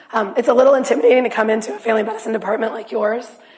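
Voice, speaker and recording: A woman speaks with audible room echo. Noticeable background noise is also present. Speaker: physician. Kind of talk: lecture.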